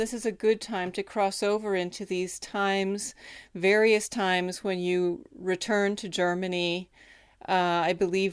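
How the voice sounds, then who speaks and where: Fairly even intonation and a fairly slow tempo shape an ordinary speaking voice. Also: woman. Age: 50s. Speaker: interviewer. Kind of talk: interview conversation. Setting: remote call.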